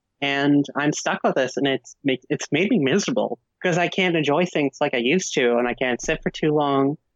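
Talking at a fairly quick pace with hardly any pauses, a woman with an American accent keeps a very deep, low pitch, ordinary pitch variation and very even loudness. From New Jersey. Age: 20s. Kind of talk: casual interview. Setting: Skype call.

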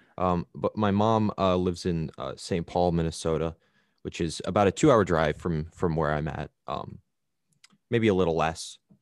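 A man with an American accent speaks at a moderate pace in a very deep, low voice. His pitch varies in an ordinary way, and the sound is dry and close with no echo. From rural Wisconsin, US. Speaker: podcast guest. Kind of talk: casual chat. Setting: remote call. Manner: halting.

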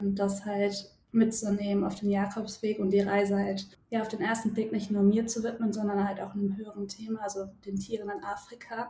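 Over noticeable background noise, a woman talks fairly quickly at medium pitch in a monotone, flat way. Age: 20s. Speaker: psychologist and pilgrim. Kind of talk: podcast interview.

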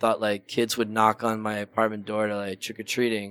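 A medium-pitched male voice in a very clean recording with a silent background. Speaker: podcast co-host. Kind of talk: casual chat. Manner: animated.

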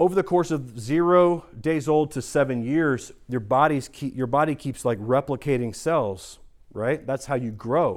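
Delivered at a moderate pace with hardly any pauses, this speech has ordinary pitch variation and a US Midwestern accent on a very clean recording with a silent background. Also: man, fairly high pitch for a man. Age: 40s. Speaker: pastor. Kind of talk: sermon.

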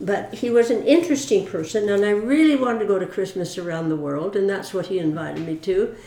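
Rushing at a very fast pace with hardly any pauses, a woman speaks in a dark, mellow tone at medium pitch with lively intonation. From US West Coast, Mountain View, California. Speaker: church member. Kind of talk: interview.

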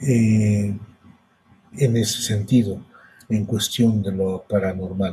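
A man with a Mexican accent speaks at a very slow pace, with long, frequent pauses and fairly even intonation. His voice is somewhat breathy, fairly low in pitch, and dark and mellow in tone. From Mexico, hot region. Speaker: podcast host and storyteller. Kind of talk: personal storytelling. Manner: halting.

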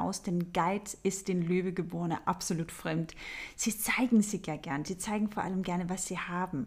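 In a very clean recording with a silent background, a woman talks at a moderate pace in a somewhat breathy voice. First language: not German (speaking German). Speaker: astrology podcast host. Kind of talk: solo podcast talk on astrology. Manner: conversational with filler sounds.

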